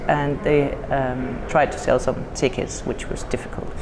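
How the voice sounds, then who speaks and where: Over noticeable background noise and audible room echo, a woman talks with a Danish accent. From Denmark. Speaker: computer science educator and conference organiser. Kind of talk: casual interview. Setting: at a conference.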